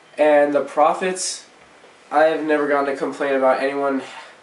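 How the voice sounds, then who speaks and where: Amid audible room echo and noticeable background noise, a man speaks in a monotone with flat intonation. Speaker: paintball player reviewing gear. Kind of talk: product review. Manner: loud; casual with fillers.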